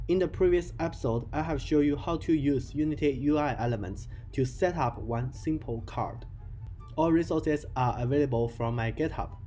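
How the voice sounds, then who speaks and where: A man's fairly high voice with a non-native accent, at a moderate pace and with ordinary pitch variation, over background music. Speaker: game development tutorial creator. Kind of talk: software tutorial narration.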